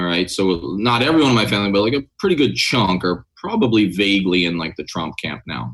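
With an American accent, a man speaks with hardly any pauses and very wide pitch swings. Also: fairly low pitch for a man, fairly quick pace. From New York, Staten Island. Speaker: retired army officer. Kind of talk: interview.

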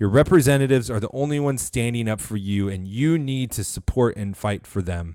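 Heard in a very clean recording with a silent background, a man with an American accent speaks at a fairly quick pace with hardly any pauses. His medium pitch carries lively intonation and a dark, mellow tone. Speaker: podcast host. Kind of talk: rally speech, fiery political pep talk. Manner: impassioned, urgent, rallying; preacherly, exhortative.

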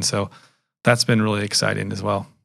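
A fairly low-pitched man with an American accent, vocal fry, monotone, flat intonation and a fairly quick pace. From Massachusetts, small town northeast of Boston, then Florida. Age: 50s. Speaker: real estate broker and former professional golfer. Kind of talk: podcast interview. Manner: hesitant with frequent fillers.

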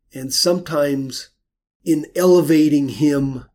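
A man with an American accent speaks in an ordinary speaking voice at a fairly slow pace, with a fairly high pitch and ordinary pitch variation. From US West, rural Idaho. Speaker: painter. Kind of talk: interview. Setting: office studio.

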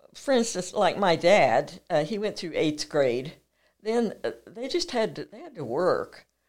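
A woman with an American accent speaks at a medium pitch and a fairly slow pace, her voice full of vocal fry, with very wide pitch swings and big jumps in loudness, on a very clean recording with a silent background. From eastern Colorado. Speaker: rancher. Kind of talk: interview.

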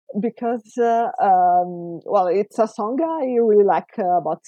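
Speaking at a very slow pace with hardly any pauses, a woman uses lively intonation at a medium pitch. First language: not English (non-native speaker). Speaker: fan fiction writer and co-host. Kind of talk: casual interview chat. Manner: hesitant, many fillers.

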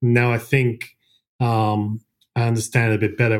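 In an Australian accent, a man speaks at a medium pitch in a monotone, flat intonation on a very clean recording with a silent background. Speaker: investment fund manager. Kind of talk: casual interview.

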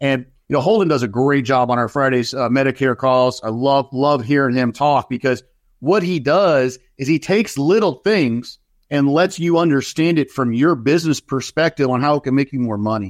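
Speech unfolds at a moderate pace. The pitch rises and falls in an ordinary way. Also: man, fairly high pitch for a man. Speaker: sales executive. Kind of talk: casual interview.

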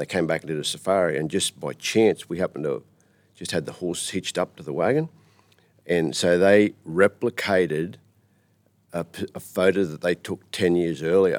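A man with a rural Australian accent, very deep, low pitch, fairly even intonation, big swings in loudness and long, frequent pauses. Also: moderate pace, dry, close sound with no echo. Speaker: tourism operator and cattle farmer. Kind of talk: interview. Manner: halting.

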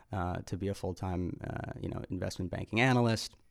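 This very clean recording with a silent background features a man in an American accent. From US Midwest, Chicago. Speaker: media executive. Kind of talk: casual interview. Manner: frequent fillers and repetitions.

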